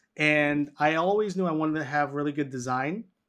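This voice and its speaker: A man with an American accent and an unremarkable speaking voice talks at a fairly quick pace against a quiet background. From New York City, Washington Heights. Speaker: physical therapist and health educator. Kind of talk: interview.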